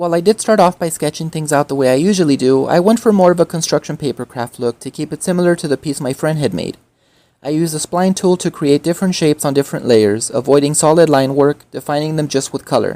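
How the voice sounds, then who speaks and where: At a very fast pace, a woman talks with a very deep, low pitch and dark, mellow tone, ordinary pitch variation, and a dry, close sound with no echo on a very clean recording with a silent background. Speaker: artist and activist. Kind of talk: voiceover narration.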